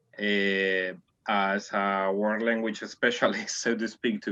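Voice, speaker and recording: Over a quiet background, a man talks very slowly in a fairly low, monotone voice with flat intonation and a bright, sharp tone. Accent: non-native. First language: not English. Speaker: world language specialist. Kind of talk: group discussion.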